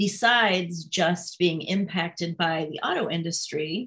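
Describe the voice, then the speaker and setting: A woman with a Midwestern American accent, at a fairly slow pace with fairly even intonation. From southwest Michigan, US Midwest. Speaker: political candidate. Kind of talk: interview.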